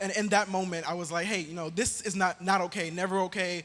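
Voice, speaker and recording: Music plays in the background. A man talks at a fairly quick pace in a high pitch. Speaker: youth nonprofit founder. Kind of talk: panel discussion. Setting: stage with audience.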